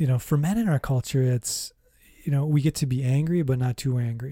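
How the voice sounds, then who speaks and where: Somewhat breathy, the voice carries a dark, mellow tone. Its pace is moderate and its pitch variation ordinary. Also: man. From US Midwest (Minnesota). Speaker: psychotherapist. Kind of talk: interview about life story.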